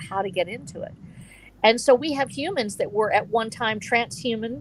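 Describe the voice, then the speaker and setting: A woman speaks at a medium pitch. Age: 60s. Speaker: author and stream co-host. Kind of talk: casual discussion on live stream. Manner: halting, with many restarts.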